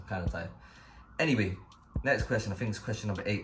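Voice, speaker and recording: In a South London accent, a man with a very deep, low pitch and vocal fry talks at a very fast pace with very wide pitch swings, and audible room echo around him. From South London, England. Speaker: YouTuber. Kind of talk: casual Q&A vlog. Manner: casual, hesitant with fillers.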